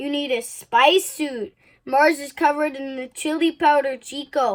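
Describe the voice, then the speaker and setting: On a very clean recording with a silent background, a woman does a put-on character voice in a high pitch. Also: moderate pace. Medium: read story.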